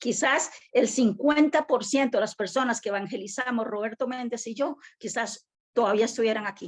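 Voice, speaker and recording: A woman with a plain, everyday voice speaks at a moderate pace. Her intonation is lively and her pitch fairly high. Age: 60s. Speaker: church member, student. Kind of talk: class participation comment.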